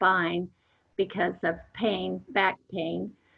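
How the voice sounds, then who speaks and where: Speaking at a very slow pace, a woman delivers her words. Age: 70s. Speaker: widow, retired teacher and homemaker. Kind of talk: interview.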